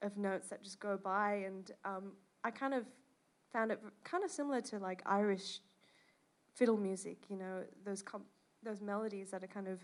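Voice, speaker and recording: A woman with an Australian accent speaks at a moderate pace, with a medium pitch and fairly even intonation. She leaves long, frequent pauses. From Australia (Perth, Western Australia). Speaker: jazz bassist and composer. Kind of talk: interview. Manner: many fillers (um).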